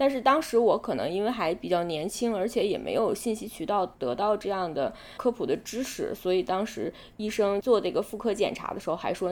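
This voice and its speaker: A woman talks fairly quickly in a plain, everyday voice. Her pitch sits in the middle range and varies in an ordinary way. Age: 30s. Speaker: interviewee sharing abortion experience. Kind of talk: personal testimony in interview.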